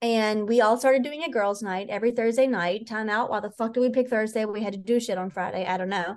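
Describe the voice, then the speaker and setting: Against a quiet background, a woman talks at a very fast pace with hardly any pauses. Her tone is animated. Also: fairly high pitch for a woman. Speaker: podcast host. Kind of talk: casual chat. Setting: home recording, broken mic.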